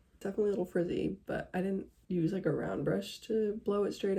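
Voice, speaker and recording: Vocal fry runs through this woman's fairly quick speech, which has ordinary pitch variation. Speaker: vlogger. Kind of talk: casual vlog talk. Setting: at home. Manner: casual, filler-heavy.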